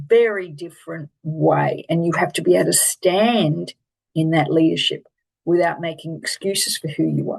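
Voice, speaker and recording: A woman with an Australian accent at a moderate pace. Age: 60s. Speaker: life coach and keynote speaker. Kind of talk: online presentation on a coaching program. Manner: animated.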